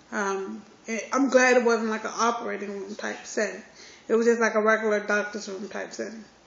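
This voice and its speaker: With noticeable background noise and audible room echo, a woman speaks at a fairly quick pace in a monotone, flat intonation and a fairly high pitch. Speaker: vlogger. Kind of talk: personal vlog. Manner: casual, hesitant with fillers.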